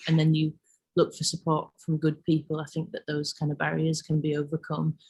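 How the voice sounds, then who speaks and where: Very deep, low female voice, somewhat breathy, monotone and flat, at a fairly quick pace. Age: 30s. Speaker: laundrette project founder, arts worker. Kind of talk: online careers talk. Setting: video call. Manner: hesitant, many fillers.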